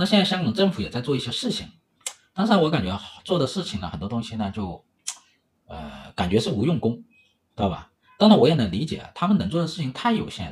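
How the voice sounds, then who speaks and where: The speech comes at a very fast pace with long, frequent pauses, vocal fry, big swings in loudness and very wide pitch swings. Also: man, medium pitch for a man. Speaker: economics livestream host. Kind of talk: livestream commentary. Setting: livestream. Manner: filler-heavy, hesitant.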